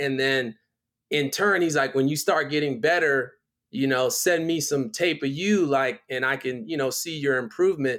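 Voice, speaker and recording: On a very clean recording with a silent background, a man with a fairly high pitch talks at a moderate pace and ordinary pitch variation. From Philadelphia and Miami, US East Coast. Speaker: director and choreographer. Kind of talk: casual interview.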